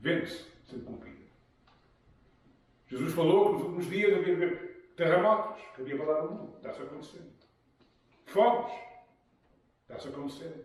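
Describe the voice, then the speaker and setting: The fairly quick speech is broken by long, frequent pauses, with big swings in loudness and audible room echo. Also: man, high pitch for a man, ordinary pitch variation. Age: 70s. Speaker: pastor. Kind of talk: sermon.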